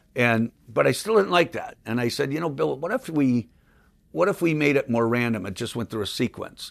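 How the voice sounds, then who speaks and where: Medium-pitched male speech with vocal fry, very wide pitch swings and a moderate pace, on a very clean recording with a silent background. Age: 60s. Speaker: magician, comedian and prop inventor. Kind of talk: casual interview chat.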